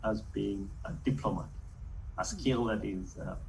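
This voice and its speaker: Amid audible room echo, a man with a Kenyan accent speaks at a moderate pace with very wide pitch swings. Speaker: university staff member. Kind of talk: interview. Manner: halting.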